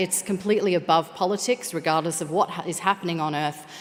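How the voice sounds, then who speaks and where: At a fairly quick pace, a woman talks in an Australian accent at medium pitch. Noticeable background noise is present. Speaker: space operations engineer. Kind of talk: conference presentation.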